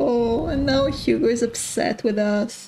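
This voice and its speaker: At a very slow pace, a woman speaks with a high pitch and ordinary pitch variation. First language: French. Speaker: let's play gamer. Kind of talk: casual gameplay commentary. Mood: distressed, sympathetic.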